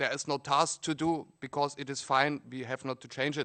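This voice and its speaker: In a German accent, a bright, sharp voice with fairly even intonation moves at a moderate pace, the sound dry and close with no echo over a quiet background. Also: man. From Germany. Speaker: Debian developer and physicist. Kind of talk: panel discussion. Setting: conference panel with audience.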